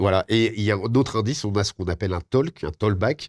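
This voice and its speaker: Recorded very cleanly against a silent background, the speech moves at a fairly quick pace with lively intonation. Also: man. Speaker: radio host. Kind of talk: interview. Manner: halting.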